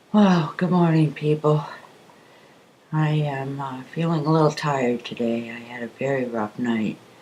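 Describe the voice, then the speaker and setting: The speaker keeps a moderate pace while noticeable background noise persists. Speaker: amateur philosopher vlogger. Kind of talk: casual monologue. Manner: hesitant, filler-heavy.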